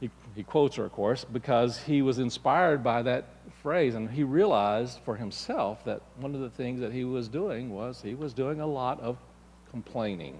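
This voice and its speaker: In a plain, everyday voice, the speaker goes at a moderate pace with ordinary pitch variation. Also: man, medium pitch for a man. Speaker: minister giving a church talk. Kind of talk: sermon / spiritual lesson to a congregation.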